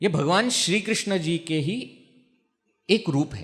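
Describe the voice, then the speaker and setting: A Marathi accent with very wide pitch swings. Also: man. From Maharashtra, India. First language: Marathi (speaking Hindi). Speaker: spiritual teacher, brahmachari monk. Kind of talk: religious discourse. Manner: conversational, asks audience questions.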